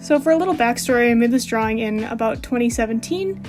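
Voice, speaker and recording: Music runs in the background. A woman speaks at a moderate pace and a fairly high pitch. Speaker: digital artist. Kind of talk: casual speedpaint voiceover. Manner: hesitant, with frequent fillers.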